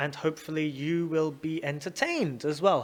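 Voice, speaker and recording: Speaking at a fairly slow pace, a man talks in a London accent. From London, England. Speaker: English teacher and podcast host. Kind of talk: casual educational podcast monologue. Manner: animated; clear, slow for learners.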